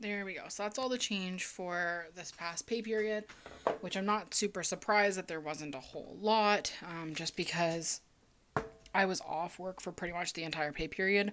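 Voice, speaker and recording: A woman's ordinary speaking voice at a medium pitch, with ordinary pitch variation and a moderate pace. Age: 20s. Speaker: budgeting vlogger. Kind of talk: casual chat. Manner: filler-heavy, casual with frequent ums.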